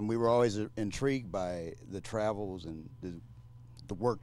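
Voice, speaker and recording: Moderately paced, a man with an ordinary speaking voice and fairly low pitch shows ordinary pitch variation. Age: 60s. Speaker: community leader. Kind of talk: panel discussion.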